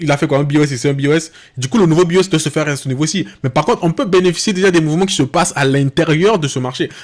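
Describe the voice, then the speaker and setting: Very fast speech from a man with a fairly high voice and ordinary variation in pitch. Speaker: trading educator. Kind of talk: tutorial. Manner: halting.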